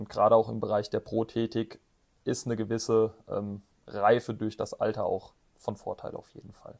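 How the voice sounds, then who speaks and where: A man speaks with long, frequent pauses and big swings in loudness. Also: moderate pace. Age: 20s. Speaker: orthotics and prosthetics master craftsman, business owner. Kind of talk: interview. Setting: his workshop. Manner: hesitant with frequent fillers.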